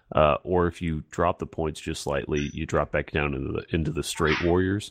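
This man has a very deep, low pitch with vocal fry and a fairly even intonation. He speaks at a moderate pace against a quiet background. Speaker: podcast host. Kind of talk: casual chat.

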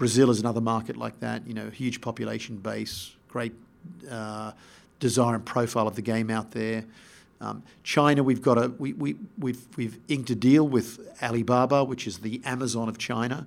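A moderate-paced voice with an Australian accent, vocal fry and fairly even intonation, in a very clean recording with a silent background. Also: man, medium pitch for a man. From Australia (Sydney and Melbourne). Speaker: sports executive. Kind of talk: interview. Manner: halting, repeats words.

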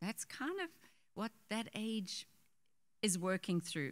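With an unremarkable speaking voice, a woman talks at a moderate pace using ordinary pitch variation. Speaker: pastor's wife, co-teacher. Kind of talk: sermon. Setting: church.

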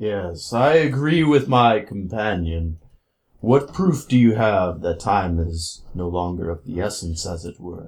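A man's put-on character voice, fairly low in pitch and at a fairly slow pace. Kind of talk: archaic formal speech. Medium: actual play. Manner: pompous, formal, dry.

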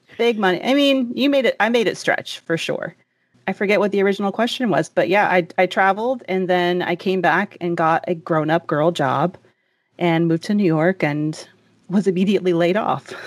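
A woman has an ordinary speaking voice, with an American accent, medium pitch and ordinary pitch variation. She talks at a fairly quick pace on a very clean recording with a silent background. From US South. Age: 30s. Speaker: podcast host and personal finance journalist. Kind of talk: casual interview chat.

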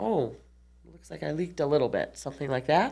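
A woman's very deep, low-pitched voice with vocal fry and lively intonation, at a fairly quick pace in a very clean recording with a silent background. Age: 40s. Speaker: nurse and podcast host. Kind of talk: interview.

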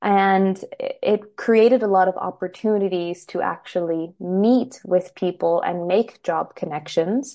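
Over a quiet background, a woman with an American accent speaks at a medium pitch in a dark, mellow tone. Her pace is fairly slow and her intonation fairly even. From US, Los Angeles. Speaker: blogger and consultant. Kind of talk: interview.

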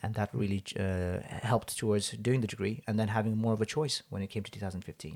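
A man talking at a very fast pace with fairly even intonation. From Hong Kong, Nepali Gurkha family. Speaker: army veteran turned engineer. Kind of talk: interview. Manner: halting.

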